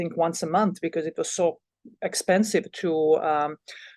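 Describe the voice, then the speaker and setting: A woman with a Bosnian accent speaks at fairly low pitch and a moderate pace with fairly even intonation, in a dry, close sound with no echo over a quiet background. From Bosnia and Herzegovina. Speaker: college volleyball head coach. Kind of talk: podcast interview. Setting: podcast. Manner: halting, many fillers and repeats.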